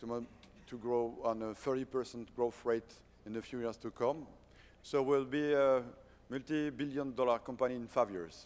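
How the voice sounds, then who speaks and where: A man in a French accent talks at a moderate pace with fairly even intonation and a medium pitch. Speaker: company founder and CEO. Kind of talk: conference presentation. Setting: stage at a conference. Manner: halting, many fillers and restarts.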